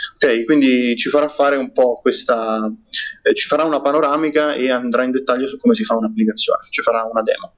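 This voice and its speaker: His pitch shifts in an ordinary way. The man talks very fast. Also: fairly high pitch for a man. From Rome, Italy. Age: 20s. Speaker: software developer and community organizer. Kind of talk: podcast interview. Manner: halting, frequent repetitions.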